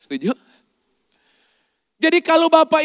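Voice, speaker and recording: A man speaks at an extremely high pitch. The sound is dry and close, with no echo. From Indonesia, not Surabaya. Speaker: pastor and leadership coach. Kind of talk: sermon. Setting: church service with congregation. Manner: interactive, engaging audience.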